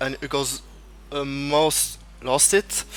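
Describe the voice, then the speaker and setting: A man with a French accent, fairly high in pitch, at a fairly slow pace. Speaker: esports race commentator. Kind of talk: live commentary. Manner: halting.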